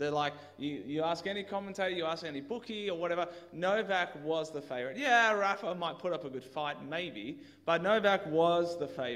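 A man is speaking. His intonation is lively. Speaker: preacher. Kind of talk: sermon. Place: church. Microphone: headset.

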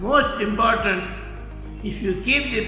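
A man's voice with fairly even intonation, faint background music and audible room echo. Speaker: vaccine recipient. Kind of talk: interview answer. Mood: pleased, appreciative. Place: hall. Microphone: phone near.

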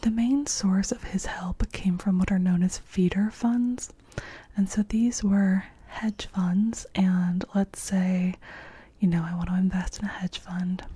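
A soft-spoken woman uses a gentle tone, fairly even intonation and a fairly slow pace. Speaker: storyteller. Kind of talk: explanatory commentary about a financial fraud. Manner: soft-spoken, gentle close-mic voice. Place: home room. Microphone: studio mic.

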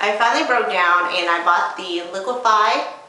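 Audible room echo surrounds the woman as she talks. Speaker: beauty vlogger. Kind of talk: casual haul vlog chat. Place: bathroom. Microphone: camera far.

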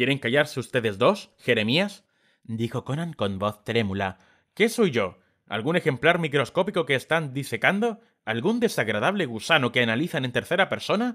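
Speaking at a moderate pace and medium pitch, a man has a bright, sharp tone and very wide pitch swings on a very clean recording with a silent background. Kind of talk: dramatic audiobook narration.

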